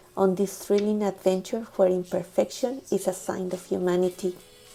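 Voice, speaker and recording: A woman with a Spanish accent, medium in pitch, at a moderate pace over music in the background. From Mexico. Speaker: storytelling channel creator. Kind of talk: scripted narration.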